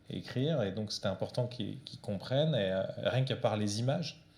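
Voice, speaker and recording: A somewhat breathy man's voice at medium pitch. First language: Portuguese (speaking French). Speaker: comic book author. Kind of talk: author talk with audience. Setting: library event with audience. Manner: hesitant, many fillers.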